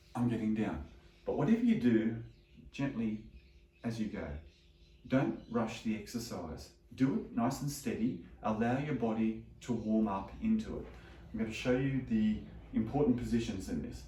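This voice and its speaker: Noticeable background noise sits behind a man talking at a moderate pace. He takes long, frequent pauses. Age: 60s. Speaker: chiropractor. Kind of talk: exercise instruction. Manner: calm, steady.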